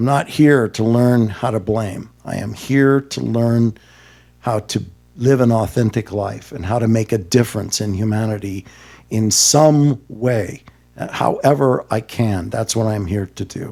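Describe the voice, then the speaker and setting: A man talks at a fairly slow pace with a medium pitch and ordinary pitch variation. His tone is dark and mellow. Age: 60s. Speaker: remote viewer and teacher. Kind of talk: podcast interview.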